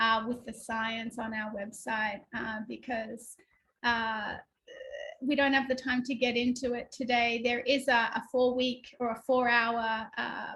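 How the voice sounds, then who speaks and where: Her tone is bright and sharp, with a fairly high pitch and an Australian accent. This woman talks at a fairly slow pace in a monotone, flat intonation. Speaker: spiritual workshop teacher. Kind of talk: online workshop talk.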